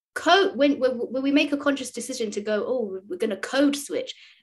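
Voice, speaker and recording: A woman with a London accent speaks at a moderate pace with lively intonation. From London, England. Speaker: speech and language therapist. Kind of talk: interview answer.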